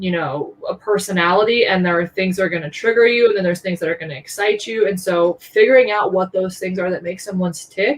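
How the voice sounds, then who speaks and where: A woman speaks very fast with an American accent and hardly any pauses. Her pitch variation is ordinary. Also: medium pitch for a woman. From Colorado. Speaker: fintech executive. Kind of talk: interview.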